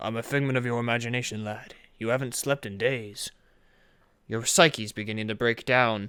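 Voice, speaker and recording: A man speaks in a put-on character voice. His pitch is medium and his pace moderate. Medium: machinima. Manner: calm, measured and fatherly.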